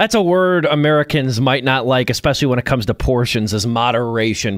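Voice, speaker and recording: A man's plain, everyday voice at medium pitch and a fairly quick pace, dry and close with no echo, in a very clean recording with a silent background. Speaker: radio host. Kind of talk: radio interview questions.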